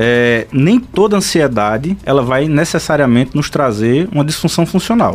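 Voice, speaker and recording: At a moderate pace and with hardly any pauses, a man in a normal speaking voice keeps a very even loudness, his fairly high pitch moving with lively intonation. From Pernambuco, Brazil (São Bento do Una). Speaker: psychiatrist. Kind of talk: radio interview.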